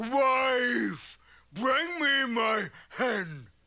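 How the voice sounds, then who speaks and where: This is a cartoonish character voice. Its pitch sits fairly high. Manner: blustering, confused.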